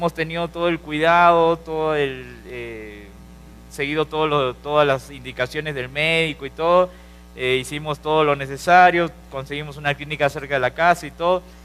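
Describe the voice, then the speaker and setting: A man's fairly high, monotone voice in a Peruvian accent, with music in the background. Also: moderate pace. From Peru, Lima. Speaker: preacher. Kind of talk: sermon.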